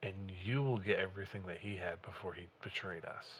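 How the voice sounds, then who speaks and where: A man performs a put-on character voice with a very deep, low pitch. He speaks at a fairly quick pace with fairly even intonation. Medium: actual play. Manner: rambling, fast-talking.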